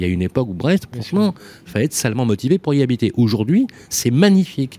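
Lively intonation and a very fast pace mark this man's speech. His dark, mellow tone sounds dry and close with no echo. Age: 50s. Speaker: radio host. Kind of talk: radio panel discussion. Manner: animated.

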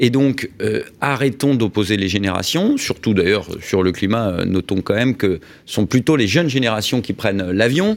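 A man with a plain, everyday voice talks at a moderate pace and medium pitch, with ordinary pitch variation and hardly any pauses. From Paris, France. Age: 40s. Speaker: business leader. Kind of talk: radio interview. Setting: radio studio.

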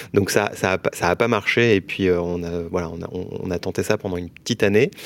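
Captured on a very clean recording with a silent background, a man speaks at a very deep, low pitch. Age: 30s. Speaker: mortgage broker entrepreneur. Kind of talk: interview.

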